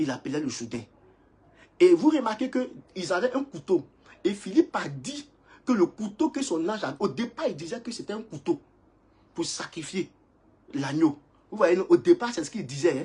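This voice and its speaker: A man's high voice with very wide pitch swings, a dark, mellow tone, big shifts in loudness and long, frequent pauses. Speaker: preacher. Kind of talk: sermon. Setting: livestream. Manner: fast.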